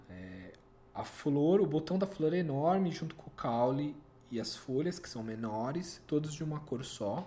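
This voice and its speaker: A somewhat breathy, dark and mellow voice moves at a fairly slow pace with lively intonation and big swings in loudness. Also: man, fairly high pitch for a man. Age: 40s. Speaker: physiotherapist. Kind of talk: street interview.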